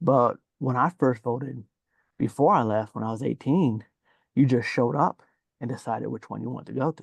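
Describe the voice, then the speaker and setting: A soft-spoken man's medium-pitched voice with vocal fry, ordinary pitch variation, a fairly quick pace broken by long, frequent pauses, and a dry, close sound with no echo. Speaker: audience member, veteran. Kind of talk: casual discussion. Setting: video call from office.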